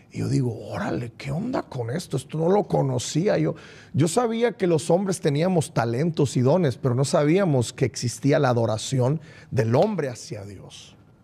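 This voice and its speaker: A man talks at a moderate pace with lively intonation and a fairly high pitch. His tone is dark and mellow, with vocal fry. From Mexico, Culiacán, Sinaloa. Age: 40s. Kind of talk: testimony interview. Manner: repeats words, halting.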